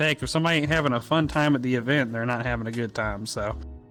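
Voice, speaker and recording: A man with a Georgia accent, very fast delivery, ordinary pitch variation, and noticeable background noise. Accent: Georgia Southern. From US South, Georgia. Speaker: event host. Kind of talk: casual interview.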